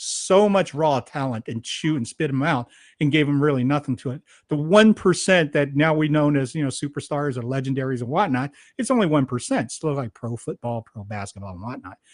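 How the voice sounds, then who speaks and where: A man with an ordinary speaking voice, a fairly high pitch and lively intonation, in a dry, close sound with no echo and a quiet background. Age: 60s. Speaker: podcast host. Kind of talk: interview conversation.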